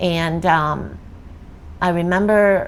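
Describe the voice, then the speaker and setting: Spoken with a Vietnamese accent, the intonation stays fairly even. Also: woman. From South Vietnam, Saigon. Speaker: refugee sharing immigration story. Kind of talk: interview testimony. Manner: halting, many fillers.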